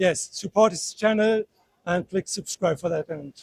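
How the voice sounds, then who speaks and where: In a dry, close recording with no echo, a man with a German accent speaks at a moderate pace with ordinary pitch variation. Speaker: tourist. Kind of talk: street interview. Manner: halting.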